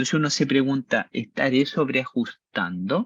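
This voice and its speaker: The sound is dry and close with no echo as a man talks at a moderate pace, his fairly high voice carrying lively intonation. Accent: Chilean. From Chile. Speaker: university-level instructor. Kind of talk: lecture. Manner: animated, conversational.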